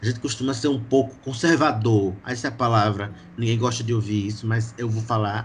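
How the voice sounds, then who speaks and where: Somewhat breathy and medium in pitch, this man's voice moves at a moderate pace with fairly even intonation. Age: 20s. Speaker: drummer in an indie band. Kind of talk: casual podcast interview.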